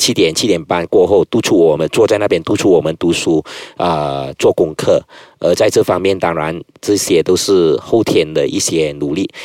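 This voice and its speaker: Dry, close sound with no echo, a man talking at a moderate pace. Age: 30s. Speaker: politician and lawyer. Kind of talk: casual interview.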